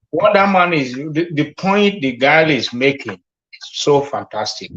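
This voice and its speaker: Speaking at a fairly slow pace, a man with a Nigerian accent has a fairly high pitch. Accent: Nigerian (Yoruba) English. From Nigeria (Ekiti, Yoruba). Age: 60s. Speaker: caller. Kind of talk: casual chat. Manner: halting.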